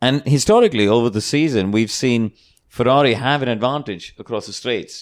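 This man has a plain, everyday voice. He talks at a moderate pace with ordinary pitch variation. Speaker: TV motorsport presenter and racing driver. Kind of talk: casual panel discussion. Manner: jokey, good-natured banter.

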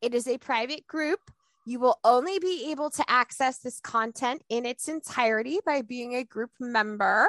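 At a moderate pace, the speaker uses an animated tone and ordinary pitch variation, the sound dry and close with no echo. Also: woman, high pitch for a woman. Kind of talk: podcast host banter. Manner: animated, exuberant.

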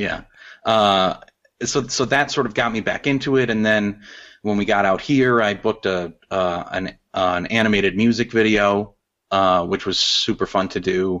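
Using a normal speaking voice, a man with an American accent talks at a moderate pace and fairly low pitch with fairly even intonation. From Chicago south suburbs. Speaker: animator and illustrator. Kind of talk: casual interview.

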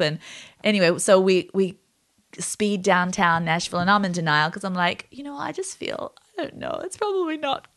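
Against a quiet background, a woman with a normal speaking voice talks at a moderate pace and medium pitch. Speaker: podcast host and new mom. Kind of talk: casual chat.

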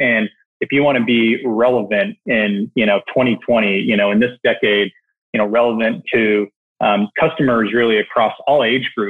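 This man has a plain, everyday voice, medium in pitch and moderate in pace. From Canada. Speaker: e-commerce operations executive. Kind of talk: interview. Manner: many fillers, repeats words.

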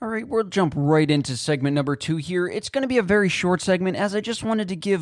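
The man's speech carries ordinary pitch variation. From Buffalo, New York, US. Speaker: sports podcast host. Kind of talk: solo sports commentary podcast. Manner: casual, with fillers and self-corrections.

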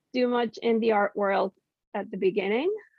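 Using a plain, everyday voice, a woman with a General American accent talks at a moderate pace with ordinary pitch variation. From Mexico and Washington DC area. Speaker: artist and graphic designer. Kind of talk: casual interview.

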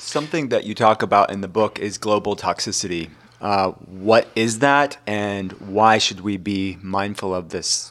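Over a very clean recording with a silent background, a man with a plain, everyday voice speaks at a moderate pace, fairly low in pitch and with ordinary pitch variation. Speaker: podcast cohost. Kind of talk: casual chat.

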